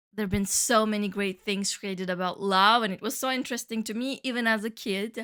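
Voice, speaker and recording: In a very clean recording with a silent background, a woman with a Turkish Cypriot accent speaks at a fairly high pitch in a bright, sharp tone, her intonation fairly even and hardly any pauses. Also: fairly quick pace. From Cyprus, Turkish side. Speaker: podcast host, flutist and music teacher. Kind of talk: casual monologue podcast.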